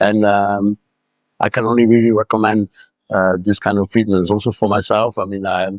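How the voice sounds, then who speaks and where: A man with a fairly low pitch speaks at a moderate pace. His intonation is monotone and flat. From Luxembourg. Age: 60s. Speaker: patient's husband giving testimonial. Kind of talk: testimony. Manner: halting, many fillers.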